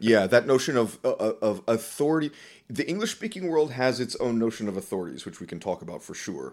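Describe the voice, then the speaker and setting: A man with an American accent has a plain, everyday voice and lively intonation. He talks at a fairly quick pace on a very clean recording with a silent background. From US South. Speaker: professor of linguistics. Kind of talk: interview.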